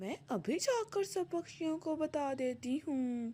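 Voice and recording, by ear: Using a cartoonish character voice, a woman speaks fairly slowly at a high pitch.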